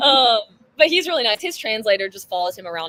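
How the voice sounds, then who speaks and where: A woman talks at a very fast pace in a Southern US accent. Her pitch swings very widely. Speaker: CrossFit athlete. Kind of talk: casual interview.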